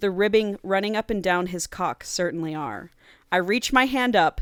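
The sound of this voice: The speaker uses an unforced reading voice, with ordinary pitch variation.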